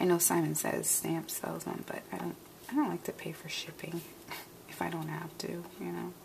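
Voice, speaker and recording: Over noticeable background noise, a soft-spoken woman talks. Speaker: card-making crafter. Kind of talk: tutorial. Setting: at home, early morning. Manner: casual, chatty.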